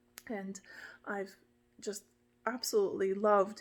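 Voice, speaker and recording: Speaking at a fairly slow pace, a woman talks in a monotone with flat intonation. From Malta, then Toronto, Canada. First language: Maltese. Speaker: fencing marshal. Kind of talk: casual vlog introduction. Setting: home dojo in a barn.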